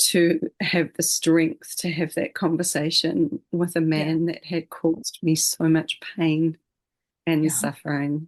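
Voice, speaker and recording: A plain, everyday voice with a dry, close sound and no echo. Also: woman, fairly low pitch for a woman. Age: 50s. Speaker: retreat leader and trauma-informed healer. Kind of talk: interview answer.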